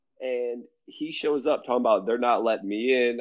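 At a medium pitch with ordinary pitch variation, a man talks at a moderate pace. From United States. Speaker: returning podcast guest. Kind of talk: casual chat, storytelling. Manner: animated, laughing.

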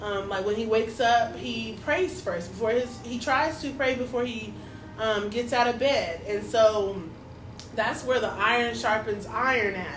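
A woman's fairly high voice at a fairly slow pace, with ordinary pitch variation, audible room echo, and noticeable background noise. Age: 30s. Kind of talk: casual faith conversation. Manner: animated, emphatic.

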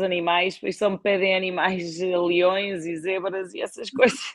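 With a European Portuguese accent, a woman speaks at a medium pitch and with fairly even intonation. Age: 30s. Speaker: wine distribution executive. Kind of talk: interview. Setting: live stream.

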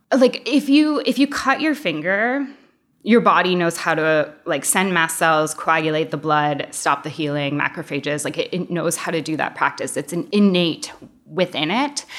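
Speaking with an American accent at a moderate pace, a woman keeps a fairly low pitch with very wide pitch swings. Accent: American with slight Canadian touches. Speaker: osteopath. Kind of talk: interview.

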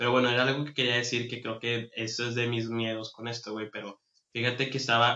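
A man with a Mexican accent speaks at a medium pitch in a monotone, flat intonation. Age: 30s. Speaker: podcast host. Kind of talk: casual chat.

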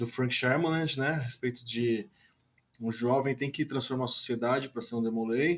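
This man's voice sits at medium pitch with ordinary pitch variation and is somewhat breathy. He talks at a moderate pace. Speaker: podcast host. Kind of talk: podcast interview.

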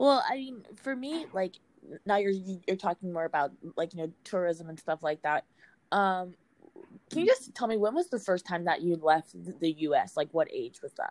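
In a very clean recording with a silent background and a dry, close sound with no echo, a woman speaks at a moderate pace with lively intonation and long, frequent pauses. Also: medium pitch for a woman. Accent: Virginia. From Virginia. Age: 20s. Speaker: podcast host. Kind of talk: casual interview; podcast intro.

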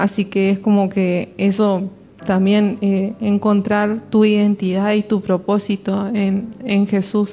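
A woman speaks very slowly in a dark, mellow, somewhat breathy tone, her loudness very even and her intonation monotone and flat. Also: medium pitch for a woman. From Argentina, Córdoba province countryside. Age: 20s. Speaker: church youth member. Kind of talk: testimony. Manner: halting, many fillers.

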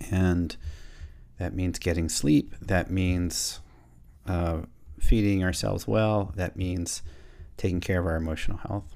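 The speech moves fairly slowly, with long, frequent pauses. The intonation stays fairly even over a dark, mellow tone. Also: man, very deep, low pitch for a man. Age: 50s. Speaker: business coach and podcast host. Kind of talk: solo podcast monologue. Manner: reflective, with hesitations.

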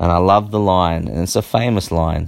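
A man's very deep, low voice at a moderate pace, with fairly even intonation, over a very clean recording and silent background. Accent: Australian. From Australia. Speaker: podcast host. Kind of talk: casual monologue.

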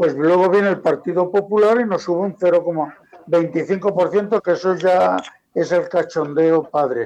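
At a fairly slow pace, a man with a high pitch speaks with ordinary pitch variation and very even loudness. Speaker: pensioner activist. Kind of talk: radio discussion. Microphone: too quiet at first.

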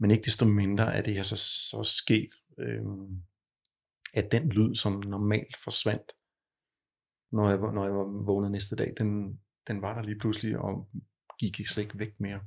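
A man with a fairly low voice talks fairly slowly in a monotone, flat intonation, leaving long, frequent pauses. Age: 50s. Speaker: client with tinnitus. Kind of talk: therapy session. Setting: studio. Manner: halting, many fillers.

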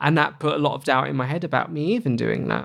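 A very clean recording of a man's fairly high voice over a silent background. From Essex, England. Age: 30s. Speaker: podcast guest sharing life story. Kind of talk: interview, personal life story.

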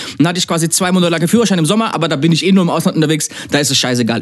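A man races along at a very fast pace, his intonation lively, while noticeable noise runs in the background. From Germany, near Mannheim. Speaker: DJ and music producer. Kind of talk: casual chat.

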